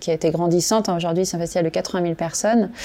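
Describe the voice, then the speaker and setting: Her voice is medium in pitch, dark and mellow in tone, as a woman speaks with fairly even intonation. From Corrèze, France. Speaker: entrepreneur. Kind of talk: interview.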